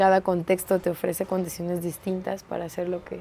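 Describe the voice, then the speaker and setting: This is a woman's voice. Light background noise can be heard. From Escobedo, Nuevo León, northeast Mexico. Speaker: performer, dancer and theatre teacher. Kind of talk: interview answer. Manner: casual, colloquial. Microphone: lapel.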